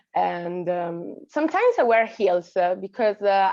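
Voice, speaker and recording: A woman speaks at a fairly slow pace with an Italian accent. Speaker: actress. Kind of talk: panel Q&A answer. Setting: festival stage Q&A. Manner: halting, many fillers.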